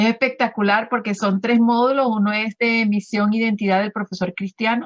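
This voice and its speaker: At a moderate pace, the somewhat breathy voice keeps very even loudness and fairly even intonation. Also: woman, fairly high pitch for a woman. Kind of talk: radio interview. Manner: halting, many fillers.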